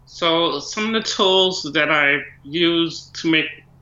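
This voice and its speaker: A man speaks with a fairly high pitch and fairly even intonation. Audible room echo is present. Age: 20s. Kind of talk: interview answers.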